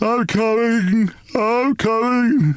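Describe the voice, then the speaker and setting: A man puts on a character voice with an extremely high pitch. His pitch varies in an ordinary way. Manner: wailing, slow.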